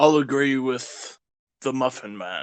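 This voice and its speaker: In a put-on character voice, a man speaks at a fairly slow pace with medium pitch and ordinary pitch variation. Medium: actual play. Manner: polite, easygoing.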